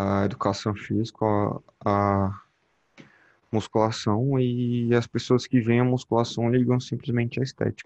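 A man speaks at a fairly slow pace. His pitch is medium, and his intonation stays fairly even. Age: young. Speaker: physical education student and gym intern. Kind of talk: casual chat.

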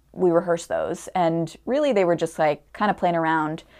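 At a fairly slow pace, a woman speaks in an ordinary speaking voice, medium in pitch with ordinary pitch variation. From Connecticut. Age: 20s. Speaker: actor. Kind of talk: casual interview chat.

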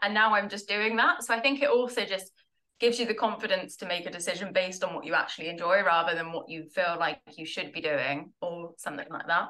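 A woman talks at a very fast pace with a southern English accent. Her pitch varies in an ordinary way. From southern England, Tunbridge Wells in Kent. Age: 20s. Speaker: product marketer in recovery from alcohol. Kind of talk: casual interview chat.

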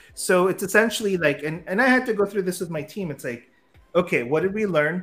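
A man with an American accent speaks over music in the background. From US, San Francisco. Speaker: startup founder and CEO. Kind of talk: interview.

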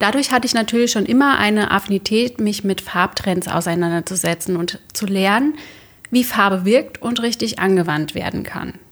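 A woman speaks in a normal speaking voice. She keeps a moderate pace with ordinary pitch variation. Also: medium pitch for a woman. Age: 30s. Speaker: interior colour consultant and podcast host. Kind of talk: scripted podcast monologue.

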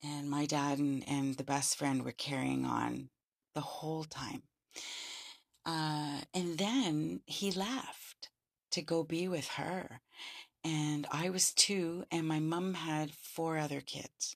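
Very deep and low, a woman's voice with a Canadian accent moves at a very slow pace with ordinary pitch variation in a very clean recording over a silent background. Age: 50s. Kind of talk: solo monologue podcast.

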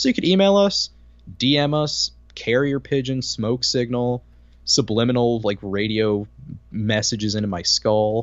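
With lively intonation and a medium pitch, a man speaks in a normal speaking voice. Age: 20s. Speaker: podcast host. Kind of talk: casual chat. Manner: quick-witted, joking.

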